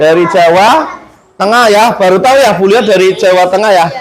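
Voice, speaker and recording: A man speaks with a strong Central Javanese accent in an animated tone, using ordinary pitch variation. His pace is moderate, and there is noticeable background noise. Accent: strong Tegal Javanese (ngapak, medok). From Indonesia, Tegal (Central Java). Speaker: teacher. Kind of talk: classroom lesson. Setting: classroom.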